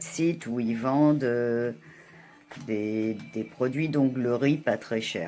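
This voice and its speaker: Very slow, very deep, low female speech with ordinary pitch variation. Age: 60s. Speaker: beauty vlogger. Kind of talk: tutorial. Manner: hesitant.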